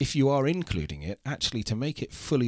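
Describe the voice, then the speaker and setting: Lively intonation marks a man speaking at a fairly quick pace in a British accent. The recording is very clean, with a silent background. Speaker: insurance executive. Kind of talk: interview. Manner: polished.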